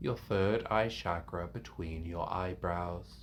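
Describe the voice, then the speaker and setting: Somewhat breathy, the voice moves through very wide pitch swings. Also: man. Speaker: meditation teacher. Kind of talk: guided meditation. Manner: calming.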